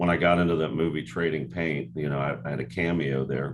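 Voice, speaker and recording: A man with a very deep, low voice talks at a fairly quick pace. His intonation is fairly even, and room echo is audible. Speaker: rock singer and actor. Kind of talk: interview. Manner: casual.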